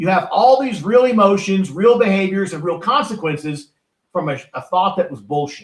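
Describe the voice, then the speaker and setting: Lively intonation marks this man's speech. He has a high pitch and a moderate pace. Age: 60s. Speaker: author and motivational speaker. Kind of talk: podcast interview. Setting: podcast recording.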